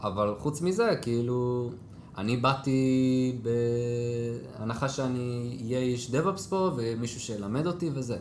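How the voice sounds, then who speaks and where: Through audible room echo and noticeable background noise, a man speaks very slowly at a medium pitch with ordinary pitch variation. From Israel, Jerusalem. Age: 20s. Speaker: DevOps team lead. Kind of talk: casual interview.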